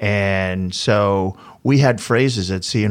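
Fairly low in pitch with ordinary pitch variation, a man speaks in an American accent on a very clean recording with a silent background. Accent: Boston, slight when sober. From Boston, US. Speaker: flooring business owner. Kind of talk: interview.

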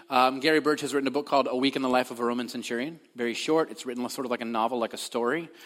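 Very fast speech on a very clean recording with a silent background. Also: man. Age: 30s. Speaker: pastor. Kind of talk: sermon. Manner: halting, many fillers.

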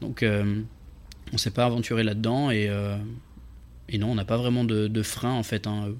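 Pausing long and often, a man speaks at a fairly slow pace in a medium pitch with monotone, flat intonation. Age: 20s. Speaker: content creator. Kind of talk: casual interview.

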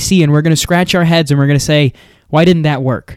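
A man's animated voice in an American accent. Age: 20s. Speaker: political podcaster. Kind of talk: solo commentary monologue.

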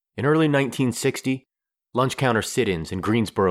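A man with lively intonation speaks in a normal speaking voice, captured in a very clean recording with a silent background. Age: 40s. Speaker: history podcast host. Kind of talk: scripted narration.

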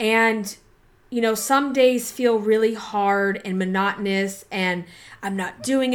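A woman speaks in a plain, everyday voice at a fairly slow pace, fairly high in pitch with fairly even intonation, in a very clean recording with a silent background. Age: 40s. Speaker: podcast host and body image coach. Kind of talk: casual solo podcast monologue. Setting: home recording with laptop, poor audio. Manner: conversational, filler-heavy.

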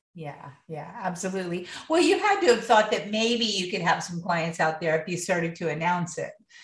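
A woman with an American accent at a moderate pace, medium in pitch with ordinary pitch variation, plus audible room echo. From US Midwest (Ohio). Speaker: podcast host, professional organizer. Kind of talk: interview.

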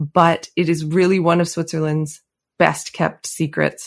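An ordinary speaking voice with a Canadian accent, at a moderate pace, over a quiet background. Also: woman. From Canada, Calgary. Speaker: pastry chef and cookbook author. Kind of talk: interview.

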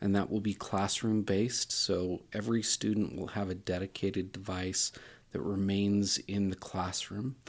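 This man's fairly low voice holds a fairly even intonation at a moderate pace, on a very clean recording with a silent background. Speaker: school district IT director. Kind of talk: interview. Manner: halting, many fillers.

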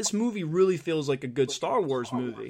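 This man has a plain, everyday voice, pitched fairly high and moving at a fairly quick pace. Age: 40s. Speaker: podcast host. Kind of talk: casual chat.

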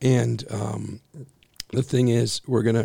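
A man talks at a medium pitch and a moderate pace, with little pitch movement. His tone is dark and mellow, with a husky, rough edge and vocal fry.

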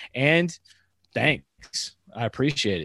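The sound is dry and close, with no echo. The background is quiet. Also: man. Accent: American. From Northern California. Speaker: podcast co-host, military veteran. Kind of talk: casual chat.

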